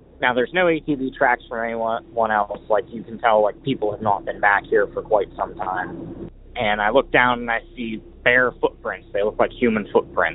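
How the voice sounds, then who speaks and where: Noticeable background noise runs under this recording. A man with an American accent speaks at medium pitch with ordinary pitch variation. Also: moderate pace. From Pittsburgh, Pennsylvania. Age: 20s. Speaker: caller. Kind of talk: storytelling.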